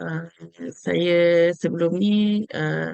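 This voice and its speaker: A woman is speaking. She talks in a Malaysian accent. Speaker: HR and finance staff. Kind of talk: interview. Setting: video call. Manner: halting.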